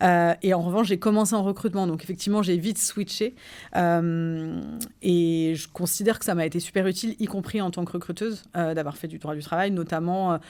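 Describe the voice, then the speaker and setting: A woman's dark, mellow tone sits at a fairly low pitch as she talks at a fairly quick pace with fairly even intonation, in a very clean recording with a silent background. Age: 40s. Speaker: HR director. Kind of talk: interview.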